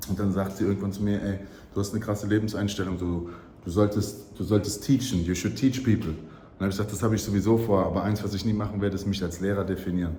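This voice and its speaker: Very fast and somewhat breathy, the speech carries a slight German accent, with audible room echo around it. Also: man, fairly low pitch for a man. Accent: slight German accent when speaking English. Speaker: travel vlogger. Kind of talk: casual vlog monologue. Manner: animated.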